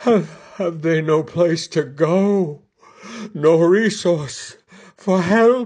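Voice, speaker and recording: Using a put-on character voice, a man speaks high in pitch at a very slow pace, leaving long, frequent pauses. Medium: stage play.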